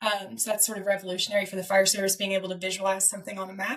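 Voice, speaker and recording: A woman talks with a Southern US accent. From US South. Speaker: fire data researcher. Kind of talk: interview.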